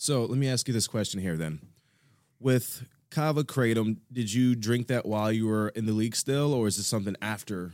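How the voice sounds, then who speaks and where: An ordinary speaking voice moves at a fairly quick pace with ordinary pitch variation, captured on a very clean recording against a silent background. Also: man, medium pitch for a man. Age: 30s. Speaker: podcast host and studio owner. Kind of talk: casual podcast interview. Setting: studio.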